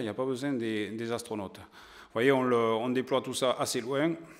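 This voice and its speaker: A man at a moderate pace with fairly even intonation, against a quiet background. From southern France, Aude; southern France. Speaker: science journalist and magazine editor; science journalist lecturer. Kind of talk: lecture to an audience. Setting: stage with audience. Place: hall. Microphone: podium.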